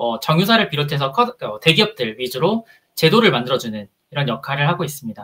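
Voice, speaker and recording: The tone is bright and sharp, with very wide pitch swings. The pace is fairly quick. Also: man. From Busan, South Korea. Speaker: HR consultant and career coach. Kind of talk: conference talk. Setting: stage with audience.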